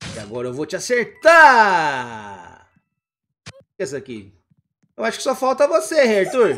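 Delivered at a fairly slow pace, the voice sounds animated and is broken by long, frequent pauses. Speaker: parent co-host of kids' gaming channel. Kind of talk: gaming commentary.

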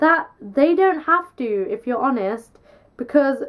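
A woman talks at a moderate pace, the background quiet. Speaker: vlogger. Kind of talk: casual vlog chat, opinion. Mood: frustrated, passionate. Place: home room. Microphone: camera far.

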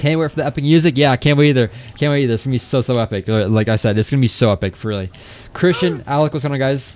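Over noticeable background noise, a man with an American accent talks at a very fast pace and medium pitch. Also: ordinary pitch variation. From Florida. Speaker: gaming streamer. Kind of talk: casual live stream chat. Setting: live stream. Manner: fast talker; excitable.

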